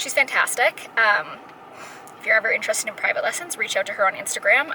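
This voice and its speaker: Against noticeable background noise, a woman talks at a fairly quick pace. Her pitch is high, with ordinary variation. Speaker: fitness vlogger. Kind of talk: casual vlog talk. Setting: jiu-jitsu gym. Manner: fast; animated.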